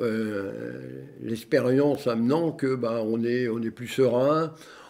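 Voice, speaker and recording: A man's medium-pitched voice, dark and mellow in tone, with ordinary pitch variation and a fairly slow pace. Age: 60s. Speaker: retired long-distance cyclist. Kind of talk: interview. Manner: hesitant, many fillers.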